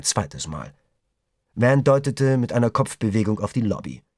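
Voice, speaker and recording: Speaking at a moderate pace with vocal fry, a man's voice makes very wide pitch swings in a very clean recording with a silent background. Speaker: audiobook narrator. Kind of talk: audiobook reading, dramatic narration with character dialogue. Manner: gripping, suspenseful, tense, with varied pacing and voices for characters.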